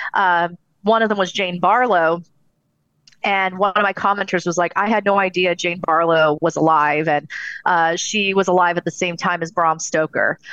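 A woman with an American accent speaks at a fairly low pitch with fairly even intonation over a quiet background. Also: moderate pace. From Southern California. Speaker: paranormal investigator and author. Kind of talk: interview.

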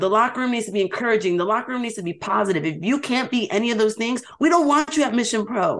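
A woman in a New York accent races along at a very fast pace, her fairly high pitch moving with lively intonation. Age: 20s. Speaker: pro wrestler. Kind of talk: interview.

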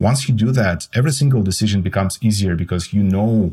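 With a Russian accent, a man talks at a fairly quick pace on a very clean recording with a silent background. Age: 40s. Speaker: tech startup co-founder and CTO. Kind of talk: interview chat.

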